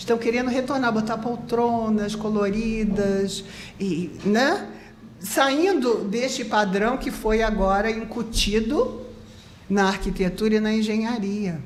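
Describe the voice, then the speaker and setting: Over noticeable background noise and audible room echo, a woman talks very slowly in a fairly high pitch with ordinary pitch variation. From Rio de Janeiro, Brazil. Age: 70s. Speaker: architect. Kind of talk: interview.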